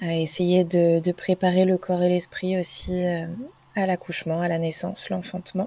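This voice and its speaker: A woman with a dark, mellow tone and fairly low pitch speaks in a monotone, flat way at a fairly slow pace, recorded dry and close with no echo. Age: 20s. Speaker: naturopath. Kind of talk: casual chat.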